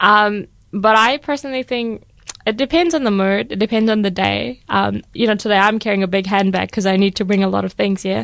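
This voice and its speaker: Speaking fairly quickly, a woman with an unremarkable speaking voice uses a medium pitch and ordinary pitch variation. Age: 20s. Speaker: student and youth coordinator. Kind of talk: radio interview. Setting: radio studio.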